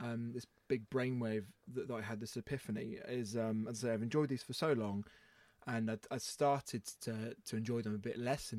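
A man with a normal speaking voice talks at a moderate pace and medium pitch, his intonation fairly even, in a very clean recording with a silent background. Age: 20s. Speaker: podcast host. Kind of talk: casual chat.

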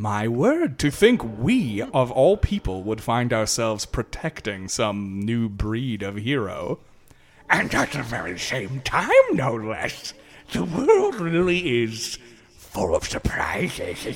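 The man puts on a character voice, pitched at a medium level and delivered at a fairly slow pace. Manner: urbane, wry.

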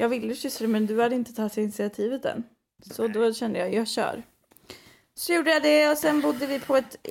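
Her fairly high voice moves at a fairly quick pace, as the woman speaks with ordinary pitch variation. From western Sweden (Skara, Västergötland). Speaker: podcast co-host. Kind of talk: casual chat.

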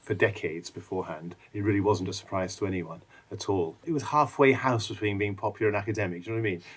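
A man with an English accent, fairly low in pitch and somewhat breathy, at a very fast pace. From England. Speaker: author and popular historian. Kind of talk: casual interview. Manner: animated, with frequent restarts.

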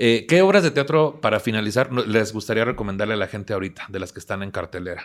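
The speech moves at a very fast pace, with pitch varying in an ordinary way. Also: man, fairly low pitch for a man. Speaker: podcast host. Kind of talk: scripted narration; casual chat.

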